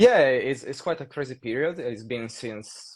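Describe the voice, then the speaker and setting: A man speaks with an Italian accent. His intonation is lively and his pace moderate. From Italy. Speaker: saxophonist. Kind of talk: casual chat.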